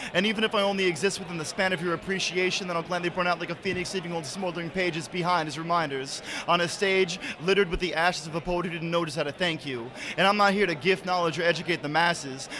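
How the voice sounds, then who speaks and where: A man's high-pitched voice at a very fast pace amid noticeable background noise. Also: fairly even intonation. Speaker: spoken word poet. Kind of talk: spoken word performance. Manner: loud; rhythmic, rapid delivery.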